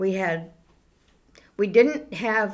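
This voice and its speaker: In a New England accent, a woman speaks at a very slow pace. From Townsend, Massachusetts. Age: old. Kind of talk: interview answer.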